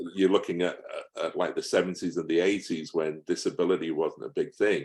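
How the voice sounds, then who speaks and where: A fairly brisk man's voice in an English accent. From England. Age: 60s. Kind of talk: interview. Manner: hesitant, with fillers and repeats.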